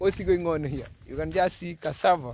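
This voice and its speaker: A man speaks in a Kenyan accent at a high pitch. His pace is moderate. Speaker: vlogger. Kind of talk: casual vlog. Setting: outdoors. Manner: animated, excitable.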